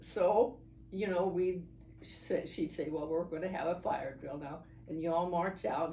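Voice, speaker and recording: With noticeable background noise behind her, a woman speaks fairly slowly at a fairly low pitch. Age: 80s+. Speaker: oral history interviewee. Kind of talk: interview answer.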